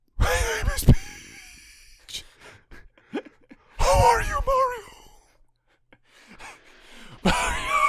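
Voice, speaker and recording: A man puts on a character voice with an extremely high pitch. He speaks at a very slow pace with long, frequent pauses. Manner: mocking imitation.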